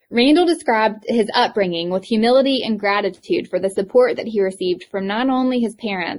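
A woman speaks with a strong Eastern North Carolina accent at a fairly quick pace. Her pitch varies in an ordinary way over a quiet background. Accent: thick Southern (Eastern North Carolina). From US South, Eastern North Carolina. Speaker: podcast host, educator and healthcare provider. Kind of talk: reflective summary; interview conversation.

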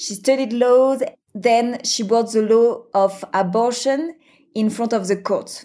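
A woman's fairly high voice, dark and mellow in tone, at a very slow pace with fairly even intonation. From France. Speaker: venture capital investor. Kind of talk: interview.

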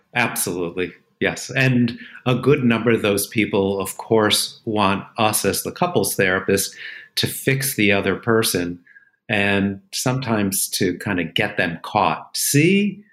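A man with an ordinary speaking voice talks at a fairly slow pace with a fairly low pitch and ordinary pitch variation. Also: very clean recording, silent background. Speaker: therapist podcast host. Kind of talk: casual conversation.

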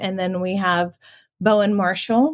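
Against a quiet background, a woman speaks in a plain, everyday voice at a medium pitch. Her pace is moderate and her pitch variation ordinary. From US South, Augusta, Georgia. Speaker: nonprofit marketing director. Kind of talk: interview.

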